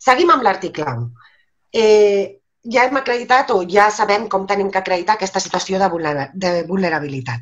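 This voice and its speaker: Against a quiet background, a woman with vocal fry speaks at a moderate pace, her pitch swinging very widely between long, frequent pauses. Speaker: lawyer and legal trainer. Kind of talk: webinar lecture. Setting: video call. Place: home room. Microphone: webcam.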